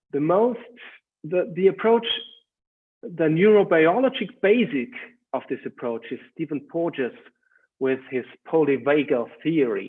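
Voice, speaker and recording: A man speaks with a German accent at a fairly slow pace. His fairly high pitch swings very widely. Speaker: educational trainer. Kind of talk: webinar talk. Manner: halting.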